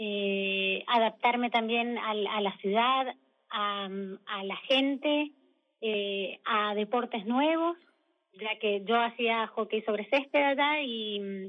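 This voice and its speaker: This woman speaks very slowly in a Mendoza accent. Her voice is fairly high, with ordinary pitch variation. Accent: Mendoza Argentine Spanish. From Argentina, Mendoza. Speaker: emigrant architect interviewee. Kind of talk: radio interview.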